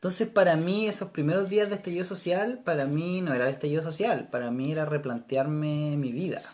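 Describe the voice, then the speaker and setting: With a plain, everyday voice, a man talks at a fairly high pitch, using lively intonation and hardly any pauses. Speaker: podcast host. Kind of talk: casual chat.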